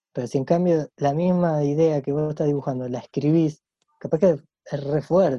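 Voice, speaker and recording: An ordinary speaking voice, with fairly even intonation at a moderate pace. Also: man, fairly high pitch for a man. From Argentina, Santa Fe and Rosario. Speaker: illustrator. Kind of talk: casual interview chat. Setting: video call.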